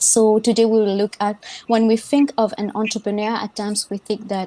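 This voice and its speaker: This woman's fairly high voice carries a dark, mellow tone. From Mauritius. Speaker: podcast host. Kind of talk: casual panel discussion.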